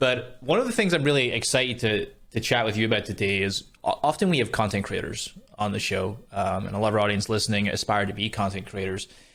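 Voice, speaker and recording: Speaking very fast in a Scottish accent, a man with a fairly low pitch uses ordinary pitch variation. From Scotland. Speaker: podcast host. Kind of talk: podcast interview questions.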